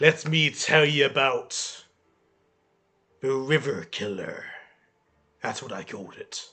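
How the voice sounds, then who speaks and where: Putting on a raspy character voice with a dramatic tone, a man with a fairly high pitch speaks at a fairly slow pace, leaving long, frequent pauses. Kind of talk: bellowing tavern storyteller. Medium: actual play. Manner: gruff, dramatic.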